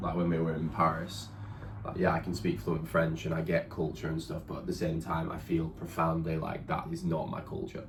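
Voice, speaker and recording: Speaking in a southern English accent at a fairly quick pace, a man with a very deep, low pitch and ordinary pitch variation is heard over noticeable background noise and audible room echo. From England. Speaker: partner of the vlogger. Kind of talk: casual chat.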